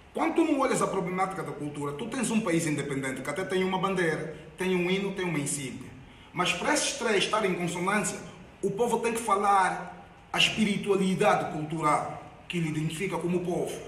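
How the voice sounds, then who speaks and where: With noticeable background noise and audible room echo, a man talks at a high pitch. His pace is fairly quick and his pitch variation ordinary. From Angola. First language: Angolan Bantu language (speaking Portuguese). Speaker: activist. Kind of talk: public talk.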